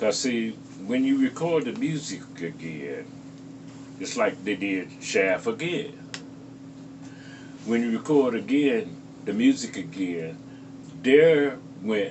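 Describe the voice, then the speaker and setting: A man talks at a very slow pace. His pitch swings very widely, and his pauses are long and frequent. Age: 70s. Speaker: guitarist. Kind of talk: interview. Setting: on location interview.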